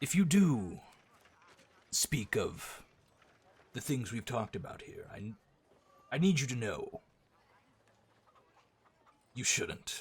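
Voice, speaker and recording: A man puts on a raspy character voice with a fairly high pitch, speaking at a fairly slow pace. His loudness swings widely, and he leaves long, frequent pauses. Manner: whispering, serious.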